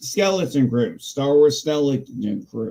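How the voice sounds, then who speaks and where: A man mumbles in a put-on character voice at a fairly slow pace. His fairly high pitch swings very widely. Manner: mumbling.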